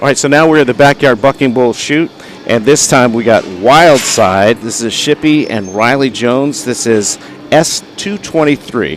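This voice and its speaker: Music plays behind a man with an American accent. He talks at a moderate pace, medium in pitch, with ordinary pitch variation. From US South. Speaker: livestream commentator. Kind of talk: live commentary. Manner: casual, with many fillers.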